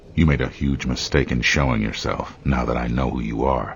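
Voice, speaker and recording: A man uses a put-on character voice with a very deep, low pitch over clear background noise. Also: moderate pace. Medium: machinima. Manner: curt, deadpan.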